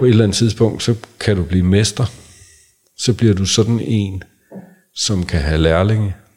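A man speaks at a moderate pace in a fairly low, somewhat breathy voice with ordinary pitch variation. Long, frequent pauses stand out in a very clean recording with a silent background. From North Zealand, Denmark. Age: 50s. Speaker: men's and couples therapist. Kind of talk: casual interview conversation.

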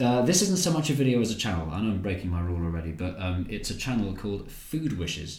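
Somewhat breathy, a man talks in a London accent. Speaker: comedian and YouTuber. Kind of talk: casual interview chat. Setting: at his new home.

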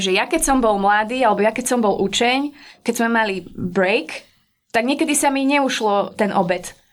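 In a very clean recording with a silent background, a woman with a normal speaking voice speaks at a fairly high pitch and moderate pace with ordinary pitch variation. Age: 30s. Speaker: pastry chef. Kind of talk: casual interview.

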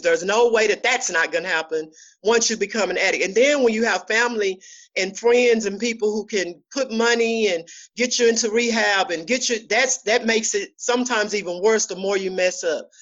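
Fairly quick speech from a woman, her voice fairly high. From Dallas, Texas. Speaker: clinician. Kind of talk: personal testimony.

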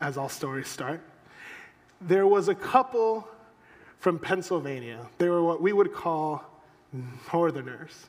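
Music plays in the background as the speaker talks at a fairly slow pace with lively intonation. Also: man. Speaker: pastor. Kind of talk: sermon. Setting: church. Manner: self-deprecating humorous.

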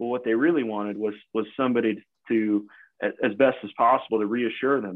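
A man with an American accent talks very fast at a medium pitch. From US Midwest, rural Ohio. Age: 40s. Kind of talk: interview conversation.

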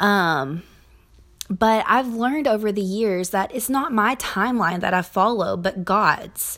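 Someone with a Southern US accent talks at a very slow pace. The intonation is lively. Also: woman. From Kentucky, US South. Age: 20s. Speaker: podcast host. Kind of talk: personal monologue. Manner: hesitant, many fillers.

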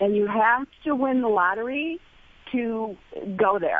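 A woman speaks in a normal speaking voice. Her pitch is fairly high and her intonation lively. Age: 50s. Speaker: caller. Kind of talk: casual chat.

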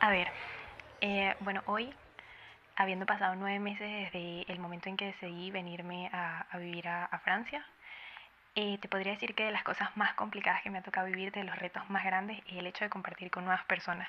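A woman's medium-pitched voice, monotone and flat, at a fairly quick pace. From Venezuela. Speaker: emigrant sharing experience. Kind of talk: recorded testimony.

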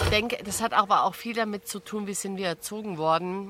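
The woman talks at a moderate pace and medium pitch. Her intonation stays fairly even. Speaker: podcast host. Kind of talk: casual interview. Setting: outdoors at a campsite. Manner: calm.

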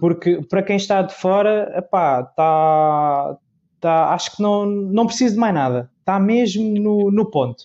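With a dark, mellow tone, a man speaks slowly-ish, at a fairly slow pace, in a high pitch with ordinary pitch variation. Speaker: podcast host. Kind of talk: casual chat.

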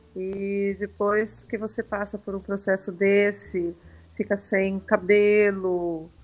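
Monotone and flat, a woman's voice sits at a medium pitch. She speaks at a very slow pace. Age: 50s. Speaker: breast cancer survivor. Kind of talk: testimony.

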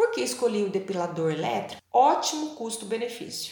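A woman talks at a medium pitch. There is audible room echo along with noticeable background noise. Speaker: blogger. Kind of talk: scripted narration.

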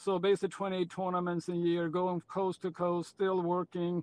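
In a Swedish accent, a man speaks with a high pitch. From Sweden. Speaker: pickleball pro and tennis coach. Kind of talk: interview.

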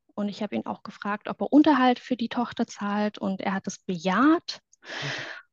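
Speaking at a moderate pace, a woman with a medium pitch and ordinary pitch variation sounds somewhat breathy, her dry, close voice carrying no echo over a quiet background. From southwestern Germany, near Stuttgart. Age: 30s. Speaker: former reality TV contestant. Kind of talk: testimony interview. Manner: hesitant, many filler sounds.

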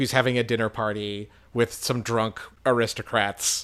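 A man talks at medium pitch and a moderate pace. His is an unremarkable speaking voice. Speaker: podcast host. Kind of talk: casual chat.

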